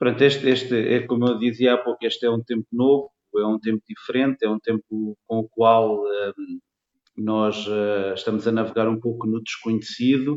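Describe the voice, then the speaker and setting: The talking proceeds at a moderate speed. Its intonation stays flat and monotone. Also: man, medium pitch for a man. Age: 40s. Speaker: construction materials salesman. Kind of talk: interview. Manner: hesitant with many fillers.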